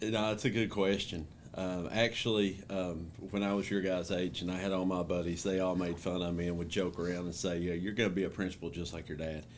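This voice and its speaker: In an Appalachian accent, a man with a very deep, low pitch talks at a fairly quick pace in a monotone, flat intonation, with audible room echo. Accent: Appalachian Kentucky. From Eastern Kentucky mountains. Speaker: school principal. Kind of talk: interview. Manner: many fillers like uh and um.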